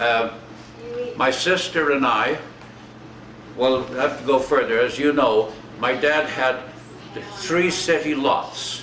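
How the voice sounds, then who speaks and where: A man with a Canadian accent speaks very slowly at a medium pitch with ordinary pitch variation. Long, frequent pauses break his speech over noticeable background noise. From Alberta, Canada. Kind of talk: reminiscing interview.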